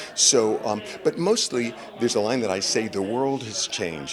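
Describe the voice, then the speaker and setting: A man speaks over noticeable background noise. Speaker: Broadway actor. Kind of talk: interview answer.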